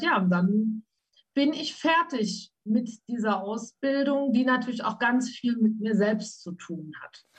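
Somewhat breathy, a woman with a fairly high voice talks at a very slow pace, with ordinary pitch variation and big swings in loudness. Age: 50s. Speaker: trauma coach. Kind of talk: interview about her life.

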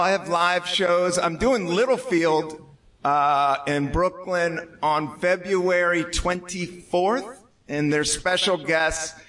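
With an American accent, a man talks at a very slow pace. His pitch is high, and there is noticeable background noise. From Washington DC. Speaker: stand-up comedian. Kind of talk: live comedy talk show interview. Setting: stage with audience.

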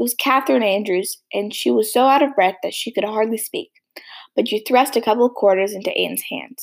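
With ordinary pitch variation, the text is read aloud in a natural voice, and the background is quiet.

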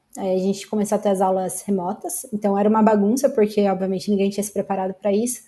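A woman speaks at a very fast pace with hardly any pauses, in a medium pitch and a dark, mellow tone. Her voice is somewhat breathy and her intonation fairly even. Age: 20s. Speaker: software engineer. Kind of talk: casual chat.

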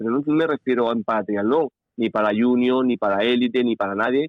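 Speaking at a moderate pace with a medium pitch, the man has a normal speaking voice. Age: 50s. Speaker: paratriathlete. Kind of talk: interview.

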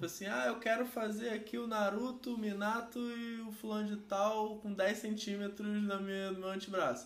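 There is audible room echo as a man speaks at a high pitch and a moderate pace. He leaves hardly any pauses and keeps his intonation fairly even. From Rio de Janeiro, Brazil. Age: 30s. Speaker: tattoo artist. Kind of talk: casual chat.

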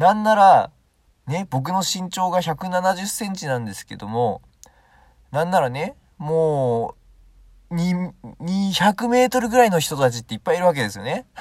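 A man speaks at a fairly slow pace in a high voice, his pitch swinging very widely, on a very clean recording with a silent background. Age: 20s. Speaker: solo podcaster. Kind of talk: casual monologue. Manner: halting.

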